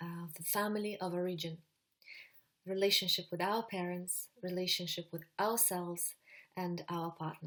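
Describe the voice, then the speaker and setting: Speaking in a monotone, flat intonation, a woman uses a fairly low pitch. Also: moderate pace. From Russia, Siberia. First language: Russian. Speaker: psychologist and relationship coach. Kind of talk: webinar presentation. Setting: online webinar. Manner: hesitant, with fillers.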